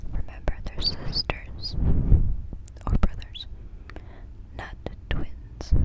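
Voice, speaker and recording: Amid noticeable background noise, a whisper unfolds very slowly. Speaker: ASMR artist. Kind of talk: ASMR whispering. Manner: whispered.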